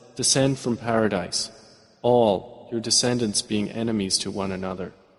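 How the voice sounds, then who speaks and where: Moderate in pace, a man speaks at medium pitch with monotone, flat intonation. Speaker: English translation voiceover narrator. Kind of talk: translation voiceover of Quran verses.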